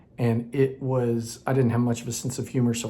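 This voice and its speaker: A man speaks at a very fast clip in a medium-pitched voice. His intonation stays flat and monotone. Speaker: acting coach for creatives. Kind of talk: tutorial. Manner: loud.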